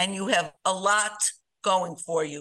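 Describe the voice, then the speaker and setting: A bright, sharp tone at a fairly slow pace. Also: woman. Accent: American. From Chicago and New York. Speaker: writer and organization co-founder. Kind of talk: casual interview.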